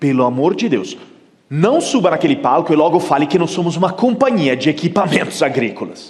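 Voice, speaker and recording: A man with an Italian accent talks at a fairly quick pace. His pitch swings are very wide, and audible room echo surrounds him. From Italy. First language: Italian (speaking Portuguese). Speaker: keynote speaker. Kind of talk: conference talk.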